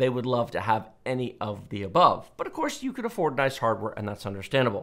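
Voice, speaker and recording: The speaker has an American accent, heard over a quiet background. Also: man. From Texas. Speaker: tech channel host. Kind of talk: Q&A commentary monologue. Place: studio. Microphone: headset.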